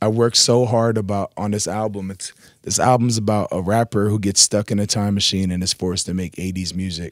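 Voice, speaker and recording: This man talks at a fairly quick pace with hardly any pauses and a fairly low pitch, on a very clean recording with a silent background. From Brooklyn, New York. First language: Arabic. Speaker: rapper. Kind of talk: interview. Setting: radio studio. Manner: animated.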